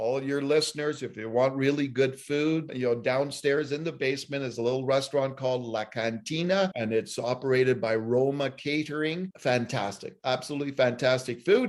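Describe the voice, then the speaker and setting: In an ordinary speaking voice, a man with a Canadian accent and medium pitch talks with hardly any pauses. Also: ordinary pitch variation, moderate pace. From Ottawa, Ontario, Canada. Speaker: journalist. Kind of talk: interview. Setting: video call.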